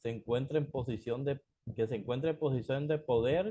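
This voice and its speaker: Here a man with a fairly high pitch speaks in a dark, mellow tone, somewhat breathy. His pace is moderate, with ordinary pitch variation. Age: 60s. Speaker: pastor. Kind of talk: sermon. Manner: calm.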